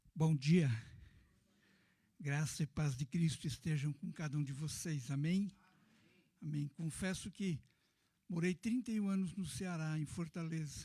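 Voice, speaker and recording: A man with a fairly high pitch and a dark, mellow tone, at a fairly slow pace with long, frequent pauses. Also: ordinary pitch variation. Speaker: pastor, missionary. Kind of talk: sermon. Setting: church. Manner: soft-spoken.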